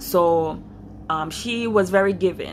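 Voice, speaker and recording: A woman speaking very slowly, with a Jamaican accent. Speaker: vlogger. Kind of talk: personal story talk to camera. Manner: casual, chatty.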